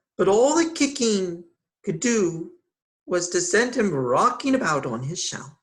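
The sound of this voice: Lively intonation from an unforced reading voice, set against a quiet background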